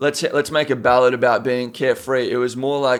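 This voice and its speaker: His accent is Australian. The man's voice sits at medium pitch, moving at a moderate pace. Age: 20s. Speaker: rapper. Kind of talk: casual chat.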